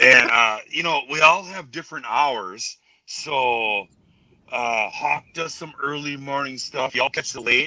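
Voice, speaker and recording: The speaker has a Minnesotan accent and a bright, sharp tone. Delivery is fairly slow, with lively intonation. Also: man. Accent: Minnesota. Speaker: livestream viewer joining call. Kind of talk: casual chat.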